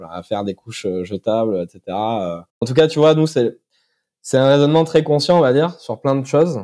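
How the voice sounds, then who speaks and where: A dark, mellow tone with very wide pitch swings. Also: man, medium pitch for a man, moderate pace. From France, Corrèze (Brive-la-Gaillarde). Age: 30s. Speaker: startup founder. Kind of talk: interview. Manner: hesitant, many fillers.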